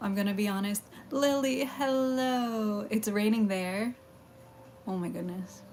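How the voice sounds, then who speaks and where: A woman's medium-pitched voice at a fairly slow pace, with ordinary pitch variation and noticeable background noise. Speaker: streamer. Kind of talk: casual chat. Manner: stuttering.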